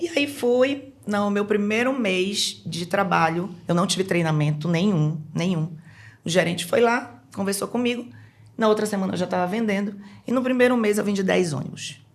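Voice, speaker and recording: A woman with a Pará accent speaks at a medium pitch, her somewhat breathy voice carrying lively intonation. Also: moderate pace. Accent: Pará accent, noticeable. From Brazil, Belém do Pará. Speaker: businesswoman, sales professional. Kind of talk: casual podcast interview. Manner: animated.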